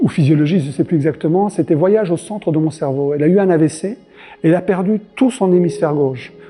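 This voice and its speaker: Speech comes at a very fast pace with ordinary pitch variation. Music plays in the background. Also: man, high pitch for a man. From Belgium. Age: 50s. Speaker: martial arts instructor. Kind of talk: interview monologue. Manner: explanatory.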